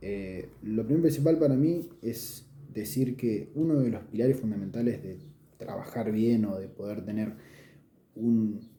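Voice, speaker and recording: With a Rioplatense accent, a man speaks at a fairly slow pace and a medium pitch. His tone is dark and mellow, and his intonation is lively. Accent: Argentine Rioplatense Spanish. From Olavarría, Argentina. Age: 20s. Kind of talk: casual talk to camera. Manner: hesitant, many filler sounds.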